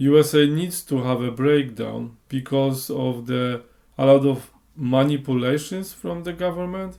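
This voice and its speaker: A man speaks at a fairly slow pace, his fairly high voice dark and mellow in tone, with ordinary pitch variation. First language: Polish. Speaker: clairvoyant. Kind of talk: monologue podcast. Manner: halting.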